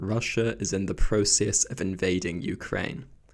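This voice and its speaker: Quiet and with vocal fry, a man speaks at a moderate pace in a fairly low pitch. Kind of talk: opinion commentary to camera.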